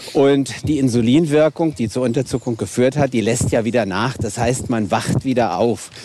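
In a Hessian accent, a man speaks at a moderate pace and medium pitch with ordinary pitch variation. Noticeable background noise runs behind him. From Hesse, Wiesbaden. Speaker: diabetes physician. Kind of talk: casual chat. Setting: outdoors.

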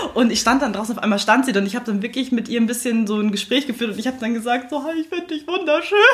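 High-pitched woman at a very fast pace with hardly any pauses and ordinary pitch variation, over noticeable background noise. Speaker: podcast co-host. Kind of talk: casual chat. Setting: studio.

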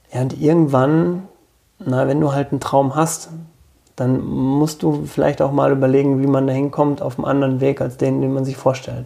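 This man has an ordinary speaking voice, pitched in the medium range, delivered at a moderate pace with fairly even intonation. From rural Germany, village. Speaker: bookshop owner. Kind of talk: casual interview.

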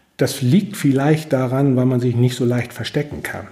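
The voice is somewhat breathy, with ordinary pitch variation. The pace is fairly slow. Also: man. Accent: slight northern German. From northern Germany, Husum (North Frisia). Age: 50s. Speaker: chamber of commerce branch manager. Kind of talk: interview. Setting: office.

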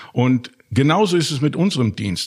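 Speaking at a very slow pace, a man uses a fairly high voice. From Germany and Austria. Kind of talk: interview. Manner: hesitant, many fillers.

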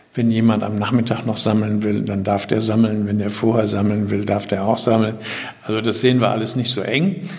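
A man's fairly low-pitched voice at a fairly quick pace, with fairly even intonation, audible room echo and noticeable background noise. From Germany, Düsseldorf. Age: 70s. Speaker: retired newspaper editor, environmental initiative founder. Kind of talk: interview.

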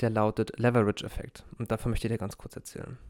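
The man's medium-pitched voice stays monotone and flat in a very clean recording with a silent background. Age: 30s. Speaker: former police officer. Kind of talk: personal reflection monologue. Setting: in-person recording in a holiday group retreat.

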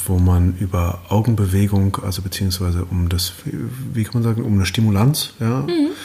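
A man's very deep, low voice with fairly even intonation over noticeable background noise. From Berlin, Germany. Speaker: actor and author. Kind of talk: casual chat.

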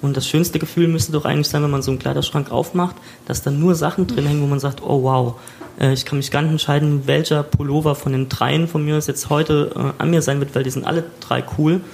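A man talks at a fairly quick pace in a fairly high voice with fairly even intonation. Noticeable background noise runs underneath. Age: 30s. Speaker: podcast host. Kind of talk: casual chat. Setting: recorded in a shop.

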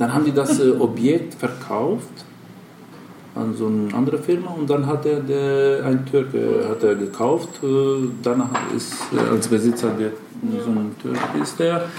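In an Albanian accent, a man speaks at a fairly slow pace with a medium pitch and ordinary pitch variation. Audible room echo and noticeable background noise fill the recording. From North Macedonia. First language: Albanian (speaking German). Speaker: travel agency owner. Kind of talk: interview. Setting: in an office.

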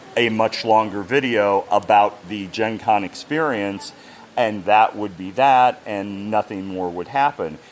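A man talks at a fairly slow pace with a fairly low pitch and fairly even intonation. Noticeable background noise runs underneath. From United States. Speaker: game company brand ambassador. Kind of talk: interview.

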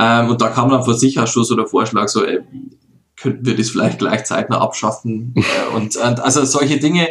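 Holding very even loudness, a man has a normal speaking voice at medium pitch, a moderate pace and fairly even intonation. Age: 30s. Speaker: mayor. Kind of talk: interview.

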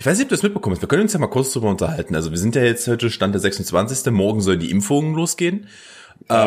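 In a very clean recording with a silent background, a man's voice shows very wide pitch swings. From Germany, Mansfelder Land (Saxony-Anhalt). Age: 30s. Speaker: podcast host. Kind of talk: casual chat.

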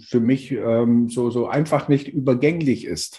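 A man's medium-pitched voice carries a dark, mellow tone. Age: 50s. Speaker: co-author of an anthology. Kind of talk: interview. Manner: halting, many fillers.

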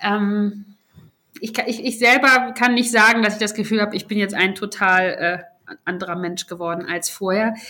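The tone is bright and sharp, with fairly even intonation. It moves at a moderate pace. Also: woman, medium pitch for a woman. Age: 30s. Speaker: member of parliament. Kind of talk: casual chat. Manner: halting.

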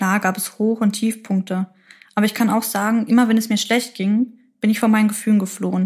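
Speaking fairly quickly, a woman uses a monotone, flat intonation in a fairly high, somewhat breathy voice. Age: 20s. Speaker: midwifery student and podcaster. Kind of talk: personal testimony.

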